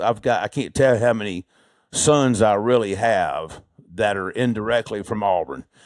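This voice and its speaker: A man with an Alabama accent talks at a fairly slow pace and a fairly low pitch, on a very clean recording with a silent background. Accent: US Southern (Alabama). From Alabama, Birmingham. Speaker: heart surgeon. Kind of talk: interview conversation.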